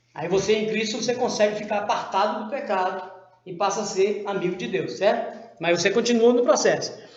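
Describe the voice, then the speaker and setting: A man's high-pitched voice comes through with audible room echo and clear background noise. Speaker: Bible teacher. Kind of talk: Bible study lesson.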